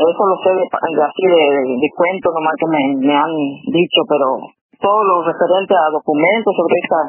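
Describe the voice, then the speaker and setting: Pitch varies in an ordinary way as the speech moves at a moderate speed. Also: woman. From Argentina, Castelli, Chaco. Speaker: artist and writer. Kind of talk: radio interview. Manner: hesitant, many fillers.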